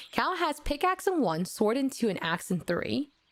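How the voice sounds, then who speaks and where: Amid noticeable background noise, a woman's voice moves through very wide pitch swings. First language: not English. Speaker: vtuber streamer. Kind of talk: casual live-stream chat while gaming. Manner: animated.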